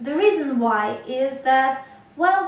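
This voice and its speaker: A Russian accent over noticeable background noise. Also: woman. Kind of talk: casual talk to camera.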